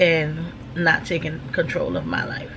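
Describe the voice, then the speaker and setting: A woman speaks with an American accent in a very deep, low pitch and a monotone, flat intonation. Audible room echo and noticeable background noise surround her. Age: 50s. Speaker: vlogger. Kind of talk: casual chat. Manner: casual, filler-heavy.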